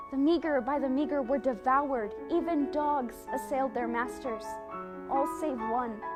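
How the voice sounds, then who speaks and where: Music plays in the background as a woman speaks. Her pitch is high with ordinary variation, and her pace is moderate. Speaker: college theatre student actor. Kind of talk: dramatic poetry monologue.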